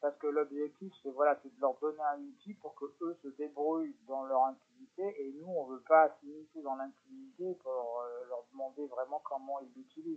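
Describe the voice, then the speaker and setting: The delivery moves at a moderate pace with hardly any pauses and fairly even intonation, though the loudness swings widely. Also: man, fairly high pitch for a man. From France, Lyon. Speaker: psychomotor therapist and charity founder. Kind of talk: radio interview. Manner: halting.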